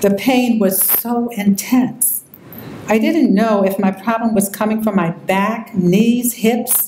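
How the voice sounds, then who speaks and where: Noticeable background noise sits behind a woman of medium pitch who speaks at a fairly slow pace with ordinary pitch variation. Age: 60s. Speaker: patient speaker. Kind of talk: personal testimony.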